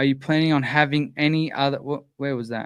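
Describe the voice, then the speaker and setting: Recorded with a dry, close sound with no echo and a quiet background, a man speaks with an Australian accent. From Australia, Sydney. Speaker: sprint car channel host. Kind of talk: live stream chat answering viewer questions. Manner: halting, many fillers.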